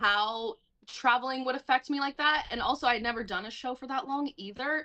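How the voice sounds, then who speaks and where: A woman with an American accent speaks in a raised, projected voice, her high pitch carrying a bright, sharp tone. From US South, Atlanta. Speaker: musical theatre actress. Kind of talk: casual chat.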